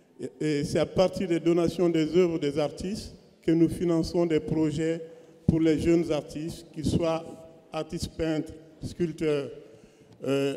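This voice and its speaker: A man with a fairly high voice, monotone, flat intonation, a fairly slow pace and long, frequent pauses, over noticeable background noise. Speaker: visual artist. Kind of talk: panel discussion.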